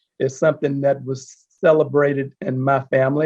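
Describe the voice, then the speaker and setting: A man with an American accent, medium pitch and monotone, flat intonation. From Texas, Houston. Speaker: panel guest. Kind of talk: panel discussion.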